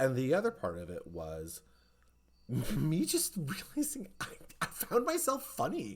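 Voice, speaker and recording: Long, frequent pauses break up this fairly slow delivery in an American accent. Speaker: podcast host. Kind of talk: casual chat. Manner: stream of consciousness, off the cuff.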